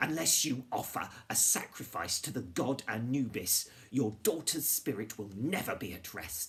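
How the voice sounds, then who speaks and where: A man's raspy, put-on character voice at a medium pitch, with very wide pitch swings, a moderate pace and hardly any pauses. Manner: solemn, warning.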